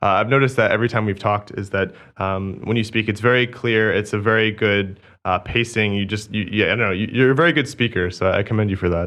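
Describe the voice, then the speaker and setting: Talking at a very fast pace, a man with a fairly low pitch keeps his intonation fairly even. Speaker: podcast host. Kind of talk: interview. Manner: fast, sometimes slurred.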